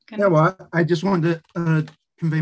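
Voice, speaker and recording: Moderate pace against a quiet background. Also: man. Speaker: speaker. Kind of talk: discussion comment in an online lecture. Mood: thoughtful, appreciative. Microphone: video call.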